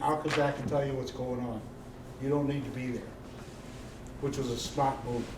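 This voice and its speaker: Audible room echo and noticeable background noise surround a man's voice. He speaks at a fairly quick pace in a medium pitch, flat and monotone. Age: 70s. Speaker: Marine veteran, event host. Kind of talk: moderated talk to live audience.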